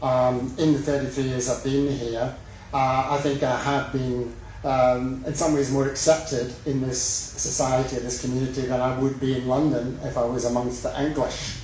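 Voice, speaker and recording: With noticeable background noise and audible room echo, a man speaks in a Scottish accent at a medium pitch, his intonation monotone and flat. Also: moderate pace. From west of Scotland. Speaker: mayoral candidate. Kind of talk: campaign speech. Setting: public forum with live audience.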